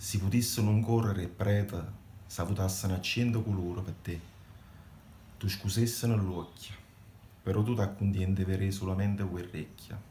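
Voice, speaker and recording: Speaking in a flat monotone with a dark, mellow tone, a somewhat breathy man leaves long, frequent pauses. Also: fairly low pitch for a man, moderate pace. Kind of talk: poetry reading.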